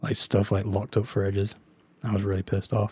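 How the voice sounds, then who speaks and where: In a very clean recording with a silent background, a man speaks at a fairly quick pace in a fairly low pitch, somewhat breathy, with a dark, mellow tone and fairly even intonation. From UK. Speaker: streamer, reseller. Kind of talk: live stream chat with viewers. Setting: live stream with webcam. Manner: casual, filler-heavy.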